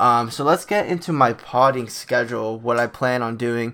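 Here a man uses an ordinary speaking voice at medium pitch, with fairly even intonation. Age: 20s. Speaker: sports podcast host. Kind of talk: casual solo sports commentary. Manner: filler-heavy, frequent ums and uhs.

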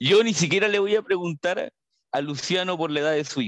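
Recorded dry and close with no echo, a man with a Chilean accent and a high pitch talks at a moderate pace. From northern Chile, María Elena. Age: 30s. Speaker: journalist. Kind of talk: casual chat.

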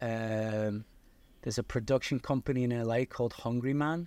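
On a very clean recording with a silent background, a man with an English accent talks at a medium pitch and moderate pace with fairly even intonation. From Liverpool, northern England. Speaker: video production company owner, filmmaker. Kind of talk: casual interview chat.

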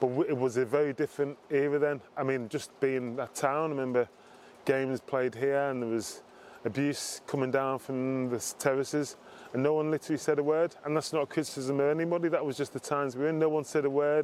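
A man speaks in a Liverpool accent at a fairly high pitch. His intonation is monotone and flat. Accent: Liverpool (Scouse) English. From Liverpool, England. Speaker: former footballer, diversity executive. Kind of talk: interview.

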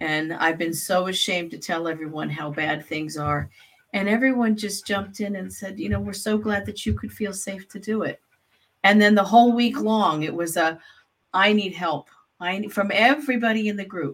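A woman's somewhat breathy voice at a medium pitch, with ordinary pitch variation and a moderate pace. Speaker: grief therapist and podcast co-host. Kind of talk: casual chat. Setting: live recording.

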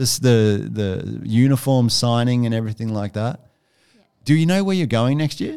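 On a very clean recording with a silent background, a man with an Australian accent speaks at a moderate pace in a medium pitch with ordinary pitch variation. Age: 30s. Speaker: primary school teacher. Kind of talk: school podcast interview. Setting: studio.

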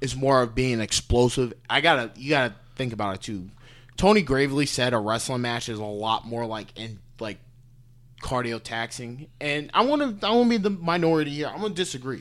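A man with an American accent at a medium pitch, with lively intonation and a fairly quick pace, on a very clean recording with a silent background. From Cleveland, Ohio (Parma). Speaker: college wrestler. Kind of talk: casual chat.

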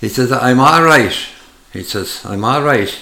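The speaker has a rural Irish accent. There is audible room echo. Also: man. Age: 80s+. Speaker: retired farmer. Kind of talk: casual chat. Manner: halting.

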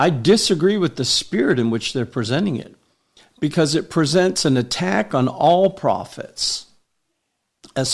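The pace is fairly slow. The intonation is lively. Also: man. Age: 50s. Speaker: prophet and podcast host. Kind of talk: prophetic preaching. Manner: halting, many fillers.

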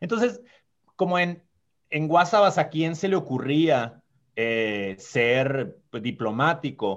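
A man's fairly high voice, very slow, with very wide pitch swings. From Sonora, Mexico (small mountain town). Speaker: diplomat. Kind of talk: podcast interview.

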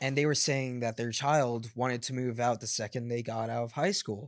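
A man talks in a normal speaking voice at medium pitch. The intonation is fairly even, and the recording is very clean with a silent background. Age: 20s. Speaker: podcast co-host. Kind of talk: casual chat.

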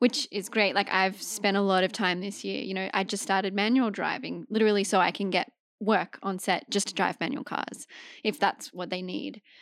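Moderate-paced speech with vocal fry and an Australian accent, fairly even in intonation, on a very clean recording with a silent background. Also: woman, medium pitch for a woman. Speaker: actor and stunt performer. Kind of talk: casual chat. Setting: studio.

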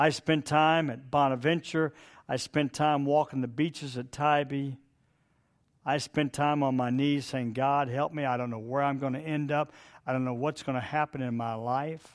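On a very clean recording with a silent background, a man with an American accent speaks at a fairly high pitch in a monotone, flat way. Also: moderate pace. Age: 70s. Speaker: retired pastor. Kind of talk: sermon. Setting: church with microphone. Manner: informal, humorous, halting.

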